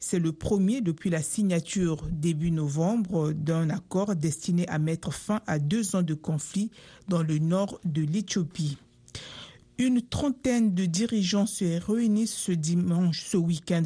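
Somewhat breathy, a woman with a dark, mellow tone and fairly low pitch speaks at a very slow pace, with very even loudness and ordinary pitch variation. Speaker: radio news anchor. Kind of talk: newsreading: a steady, formal read of world headlines in a brisk, even broadcast delivery. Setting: studio. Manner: formal, measured and neutral, with little emotion.

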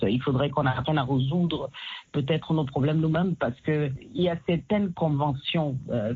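A woman's somewhat breathy voice, very deep and low in pitch, with ordinary pitch variation. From Cameroon. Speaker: singer and activist. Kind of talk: interview. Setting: phone call.

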